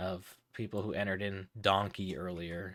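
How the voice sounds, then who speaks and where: A soft-spoken man talks at a moderate pace on a very clean recording with a silent background. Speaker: livestream charity fundraiser host. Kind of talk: live stream chat with viewers. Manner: halting, many fillers.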